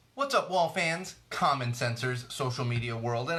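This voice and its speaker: A man in an upbeat tone with ordinary pitch variation, music in the background. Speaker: podcast host. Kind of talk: podcast intro.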